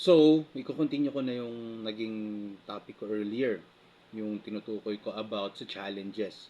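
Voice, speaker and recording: A man of medium pitch speaks at a moderate pace with ordinary pitch variation and big swings in loudness. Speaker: motovlogger. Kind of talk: casual vlog. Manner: hesitant, many fillers. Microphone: phone mic.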